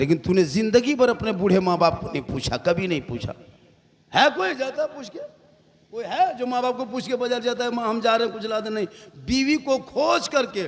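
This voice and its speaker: A man talks at an extremely high pitch with lively intonation. His pace is moderate, and there is noticeable background noise. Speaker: Islamic preacher. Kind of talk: humorous religious sermon at a night gathering.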